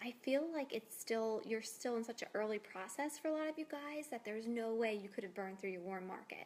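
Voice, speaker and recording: A woman speaks here. Her voice is soft-spoken. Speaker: fitness coach. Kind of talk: casual video tips.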